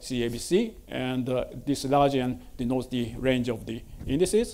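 The tone is dark and mellow. It belongs to a man. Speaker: conference speaker. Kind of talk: lecture. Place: hall.

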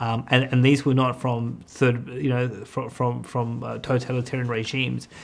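A man is speaking here. His pace is moderate and his intonation fairly even. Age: 30s. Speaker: economist; guest. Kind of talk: casual chat. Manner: halting. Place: studio.

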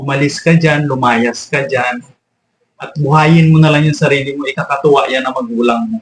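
A somewhat breathy voice at a fairly quick pace. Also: man, fairly high pitch for a man, ordinary pitch variation. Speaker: vlogger. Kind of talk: angry rant, scolding lecture aimed at freeloading grown children. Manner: indignant, scolding, forceful and emphatic with repeated commands; rapid, exasperated, rhetorical tag questions like 'o di ba?'.

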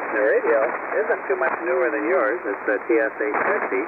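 A man at a fairly slow pace, dry sound with no echo, loud background noise behind him. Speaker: amateur radio operator. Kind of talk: casual chat. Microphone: two way radio.

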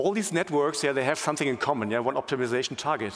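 Medium pitch for a man, with ordinary pitch variation

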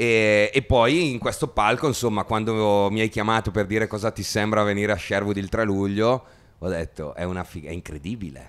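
Here a man talks at a fairly quick pace. His voice is fairly low, with ordinary pitch variation. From Italy. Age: 30s. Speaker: musician; interviewee. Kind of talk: interview. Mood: relaxed, friendly, enthusiastic. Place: empty room. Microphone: handheld.

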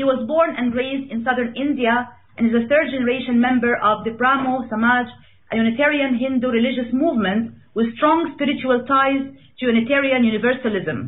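The intonation stays fairly even. The background is quiet. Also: woman, high pitch for a woman. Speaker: radio show host. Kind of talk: host introduction. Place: studio.

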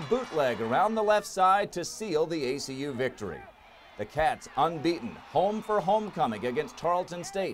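A man's high-pitched voice with very wide pitch swings over noticeable background noise. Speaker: sports broadcaster, team play-by-play announcer. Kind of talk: sports season recap voice-over narration.

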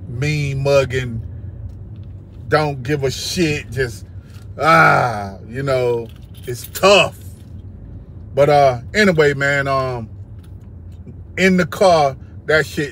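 The delivery is very slow, broken by long, frequent pauses. The sound is dry, with no echo. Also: man. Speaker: music reaction vlogger. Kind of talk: casual vlog chat. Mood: relaxed, enthusiastic. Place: car. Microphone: phone near.

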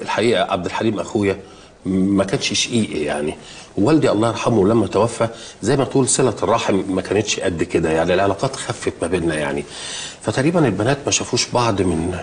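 Lively intonation carries a fairly quick pace over light background noise. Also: man, fairly low pitch for a man. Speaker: actor playing a father. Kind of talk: scripted comedic dialogue. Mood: nervous, laughing, flustered. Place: office.

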